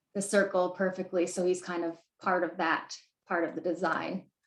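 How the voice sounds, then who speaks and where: Audible room echo follows a woman as she talks at a moderate pace. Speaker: graphic designer and workshop presenter; presenter. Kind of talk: tutorial. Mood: friendly, relaxed.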